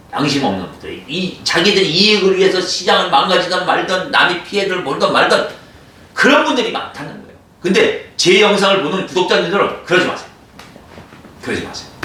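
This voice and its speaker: Over noticeable background noise and audible room echo, a man talks at a fairly quick pace in a high-pitched, animated tone. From Korean province outside the capital area. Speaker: composite wood business owner. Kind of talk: product explainer video. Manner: animated, emphatic.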